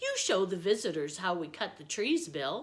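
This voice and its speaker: A woman puts on a character voice at medium pitch. Her intonation is lively and her pace moderate. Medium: read story. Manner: hearty, hospitable.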